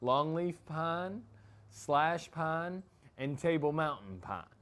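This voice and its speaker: A man talks at a very slow pace. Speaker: educator. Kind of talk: tutorial. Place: open country. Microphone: lapel.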